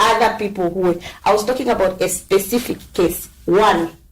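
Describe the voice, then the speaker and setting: Noticeable background noise runs under a woman speaking at a moderate pace. Her pitch is medium and her intonation fairly even. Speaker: social media advocate. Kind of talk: podcast discussion. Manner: loud.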